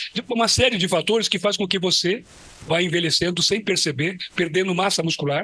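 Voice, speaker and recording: Over noticeable background noise, a man talks at a very fast pace. His high-pitched voice keeps fairly even intonation. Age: 70s. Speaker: physical education professor. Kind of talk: lecture.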